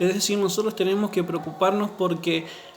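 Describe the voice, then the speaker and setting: With audible room echo and music in the background, a man speaks in a high voice with fairly even intonation. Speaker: pastor. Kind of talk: sermon.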